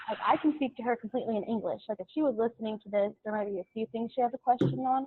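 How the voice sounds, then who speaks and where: A fairly high-pitched woman with an American accent and ordinary pitch variation. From US, Mexican-American family. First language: Spanish (raised bilingual). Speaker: university student. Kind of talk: casual group discussion.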